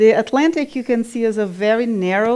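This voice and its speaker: A woman's fairly high voice in a Brazilian Portuguese accent, dark and mellow in tone, with ordinary pitch variation. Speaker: climate scientist. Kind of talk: lecture. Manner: halting, with fillers.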